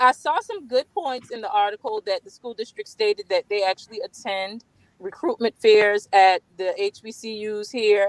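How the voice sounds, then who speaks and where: A woman speaks at a moderate pace with a fairly high pitch and ordinary pitch variation. Her loudness swings widely, and the sound is dry and close with no echo. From US South, Georgetown, South Carolina (Gullah Geechee community). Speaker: community guest. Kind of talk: interview.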